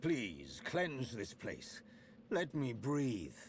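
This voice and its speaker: A man's put-on character voice at a medium pitch, with clear background noise. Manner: gasping, pleading.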